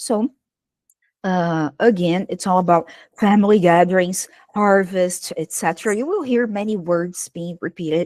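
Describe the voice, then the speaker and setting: Speaking at a moderate pace with ordinary pitch variation, this voice has a Brazilian accent and a dry, close sound with no echo. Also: woman, medium pitch for a woman. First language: Portuguese. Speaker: English teacher. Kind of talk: online workshop presentation. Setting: livestream.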